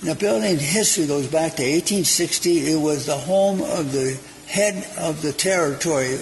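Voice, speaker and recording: A man's fairly high voice at a moderate pace, with ordinary pitch variation amid noticeable background noise. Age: 80s+. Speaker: restaurant owner and cook. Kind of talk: interview. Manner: halting.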